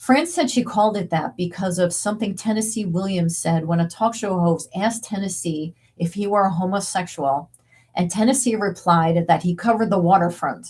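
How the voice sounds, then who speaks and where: At a fairly quick pace, a woman speaks in a somewhat breathy voice of medium pitch. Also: ordinary pitch variation. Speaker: video essayist narrating diary entries. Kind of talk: narrated commentary. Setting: home office. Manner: casual, conversational.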